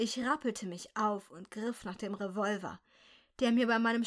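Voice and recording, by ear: Someone reads aloud in a natural voice, keeping the intonation mostly level.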